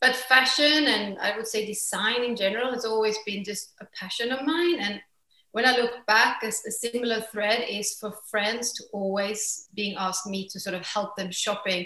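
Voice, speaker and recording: A woman with a Swedish accent speaks at a moderate pace in a fairly high pitch with a bright, sharp tone and ordinary pitch variation. The background is quiet, though room echo is audible. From Sweden. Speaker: fashion entrepreneur. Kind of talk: interview. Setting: remote call. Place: home room. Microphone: video call.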